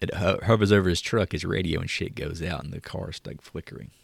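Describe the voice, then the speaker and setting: A man with an American accent speaks at a fairly quick pace in a very deep, low pitch with vocal fry and ordinary pitch variation, captured in a very clean recording with a silent background. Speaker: podcast host. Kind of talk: casual banter podcast.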